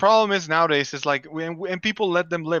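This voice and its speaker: With a Spanish accent, a man speaks at a very fast pace with a high pitch and ordinary pitch variation. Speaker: comic artist. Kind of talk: casual chat.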